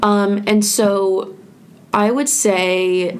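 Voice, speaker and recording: Background noise can be noticed. There is audible room echo as well. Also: woman. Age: 20s. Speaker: student radio podcast host. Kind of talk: casual chat. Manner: casual with many fillers.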